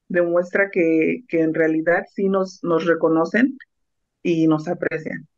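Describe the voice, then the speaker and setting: A woman's fairly low voice at a very slow pace, with a dry sound and no echo. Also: quiet background. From Mexico, Oaxaca (Mixteca region); Oaxaca, Mexico. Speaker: food truck owner; guest. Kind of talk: radio interview. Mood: warm, proud. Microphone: video call.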